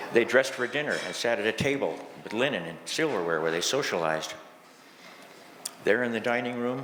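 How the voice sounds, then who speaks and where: A man with an American accent speaks at a fairly quick pace with lively intonation, leaving long, frequent pauses. Room echo is audible. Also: medium pitch for a man. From California, Italian fishing community. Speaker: fisherman poet. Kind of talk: reading aloud.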